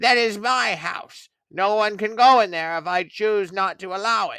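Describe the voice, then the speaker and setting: Putting on a character voice, a man talks at a moderate pace with a high pitch. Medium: read story.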